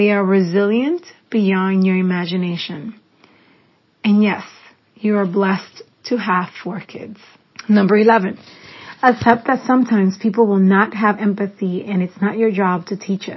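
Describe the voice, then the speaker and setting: A somewhat breathy woman at a moderate pace, her intonation fairly even, with long, frequent pauses. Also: medium pitch for a woman. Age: 40s. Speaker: podcast host. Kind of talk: reading aloud a personal letter.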